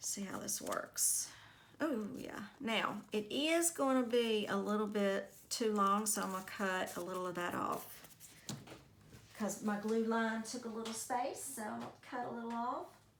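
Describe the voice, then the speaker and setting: With audible room echo, a woman speaks fairly slowly at a fairly high pitch and ordinary pitch variation. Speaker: crafting youtuber. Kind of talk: craft tutorial. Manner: quiet.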